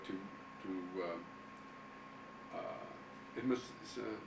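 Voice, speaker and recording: Noticeable background noise sits behind a man speaking fairly slowly with ordinary pitch variation. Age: 70s. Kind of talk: interview answer. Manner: slow, hesitant.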